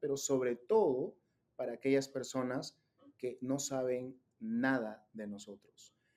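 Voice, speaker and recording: A man with a Peruvian accent speaks at a medium pitch in a dark, mellow tone. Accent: Peruvian Spanish (Lima). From Peru, Lima. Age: 30s. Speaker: digital content creator, faith organization director. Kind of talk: interview conversation. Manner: hesitant, many fillers.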